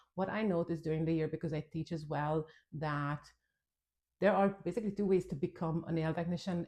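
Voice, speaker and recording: In a Hungarian accent, a woman speaks at a fairly quick pace with a very deep, low pitch and a dark, mellow, somewhat breathy tone over a quiet background. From Hungary. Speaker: nail technician and trainer. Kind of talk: tutorial. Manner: casual, conversational.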